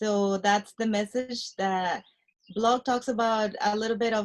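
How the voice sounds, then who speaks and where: With a Spanish accent, a woman speaks at a fairly high pitch with fairly even intonation. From Mexico. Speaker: nurse anesthetist and real estate investor. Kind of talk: interview. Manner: halting, many fillers.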